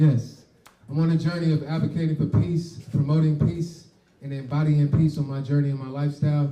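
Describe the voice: This man's fairly high voice has a dark, mellow tone and little pitch movement, moving at a fairly quick pace with audible room echo.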